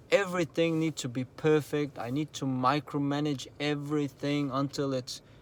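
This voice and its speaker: Over a silent background on a very clean recording, a man with a fairly high voice speaks at a moderate pace with fairly even intonation. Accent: non-native. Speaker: entrepreneur vlogger. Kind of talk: motivational vlog talk. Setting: in a car at night.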